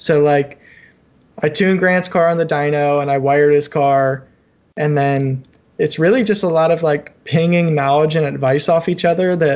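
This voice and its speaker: A man with a normal speaking voice talks at a moderate pace, fairly high in pitch and with fairly even intonation. His loudness stays very even against a quiet background. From Ohio (Cleveland). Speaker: engineer and amateur racer. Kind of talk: casual chat. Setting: video call.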